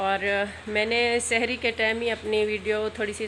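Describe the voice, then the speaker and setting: Over noticeable background noise, a woman speaks in a flat monotone. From Pakistan. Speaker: vlogger. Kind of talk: casual vlog narration. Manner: hesitant with many fillers.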